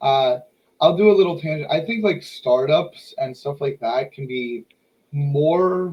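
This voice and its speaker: Somewhat breathy, a man with an American accent speaks at a fairly high pitch and a fairly slow pace, with ordinary pitch variation. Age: 20s. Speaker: podcast host. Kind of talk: casual chat. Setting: live stream.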